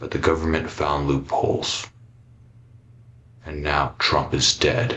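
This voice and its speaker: Using a put-on character voice, a man speaks at a fairly slow pace with a very deep, low pitch and long, frequent pauses. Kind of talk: analog horror voice-over. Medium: voice reel. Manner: grave, confessional monologue.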